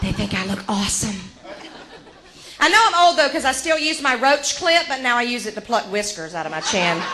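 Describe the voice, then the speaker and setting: A woman with an American accent speaks in an animated tone at a fairly quick pace, her high pitch making very wide swings, amid audible room echo and noticeable background noise. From Georgia, US South. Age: 40s. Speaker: comedian. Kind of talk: stand-up. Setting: stage with audience.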